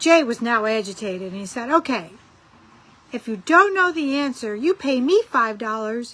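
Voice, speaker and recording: A woman with a Rochester accent speaks in a raised, projected voice with a bright, sharp tone, very wide pitch swings and a moderate pace. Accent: northern Rochester. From Rochester area, northern US. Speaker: friend sending jokes. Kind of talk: joke telling.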